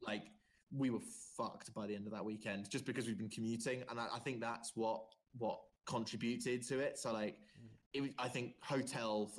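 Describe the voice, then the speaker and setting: An ordinary speaking voice with ordinary pitch variation, moving at a fairly quick pace. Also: man. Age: 20s. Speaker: podcast host. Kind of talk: casual chat.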